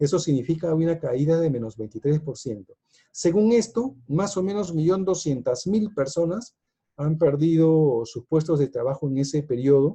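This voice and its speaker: The tone is dark and mellow. Intonation stays lively. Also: man, fairly high pitch for a man, moderate pace. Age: 60s. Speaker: economics speaker. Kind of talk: lecture. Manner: hesitant, many fillers.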